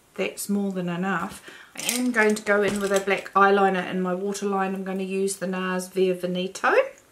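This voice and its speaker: A woman's medium-pitched voice comes through with noticeable noise behind it. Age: 50s. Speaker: beauty vlogger. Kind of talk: tutorial. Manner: slow.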